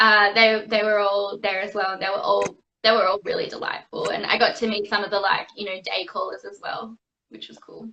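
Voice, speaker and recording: A woman with an Australian accent speaks at a fairly quick pace, her loudness swinging widely. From Australia, Perth. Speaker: actress and singer. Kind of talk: interview. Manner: casual, many fillers.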